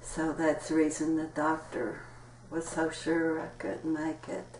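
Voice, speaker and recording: A woman speaks with a very deep, low pitch at a fairly slow pace. Noticeable background noise runs behind her. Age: 60s. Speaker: interviewee sharing health experiences. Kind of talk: interview testimony.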